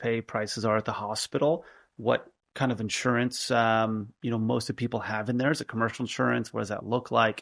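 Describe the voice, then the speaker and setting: Delivered at a fairly quick pace, a man's medium-pitched speech has monotone, flat intonation. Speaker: healthcare business founder and CEO. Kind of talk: podcast interview. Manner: fast; conversational with frequent fillers.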